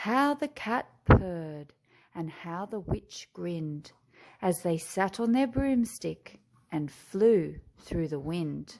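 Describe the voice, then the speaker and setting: On a very clean recording with a silent background, a woman with an Australian accent speaks very slowly at a fairly low pitch, her voice making very wide pitch swings. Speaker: teacher. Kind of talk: children's picture book read-aloud.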